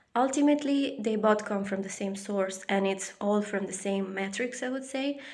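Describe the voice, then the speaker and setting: A woman with a non-native accent at a moderate pace, hardly any pauses, ordinary pitch variation, and audible room echo. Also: medium pitch for a woman. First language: not English. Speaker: spiritual vlogger. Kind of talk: personal reflection monologue. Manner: halting, many fillers.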